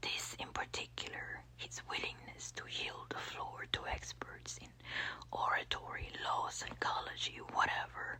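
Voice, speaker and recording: A whisper moves at a fairly slow pace, with noticeable background noise behind it. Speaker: ASMR audiobook reader. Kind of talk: ASMR audiobook reading, soft whispering. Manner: soft whispered, relaxing.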